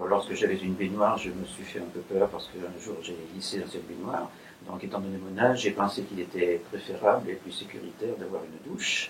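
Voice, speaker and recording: This man's very deep, low voice moves at a fairly quick pace with big swings in loudness and fairly even intonation over noticeable background noise. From France, Limoges. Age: 80s+. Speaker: retired bank employee, customer. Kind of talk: testimony. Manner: halting.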